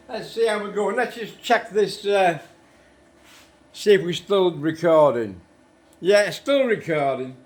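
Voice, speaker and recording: A man with a British accent, high in pitch, with lively intonation. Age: 70s. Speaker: motorcycle restorer. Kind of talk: tutorial. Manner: casual, chatty.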